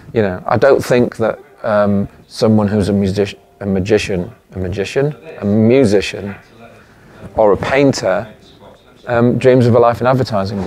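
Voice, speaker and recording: Noticeable background noise behind a male voice of middling pitch and normal pitch movement. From Leeds, England. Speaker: advertising creative director. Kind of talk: interview answer. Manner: casual, hesitant.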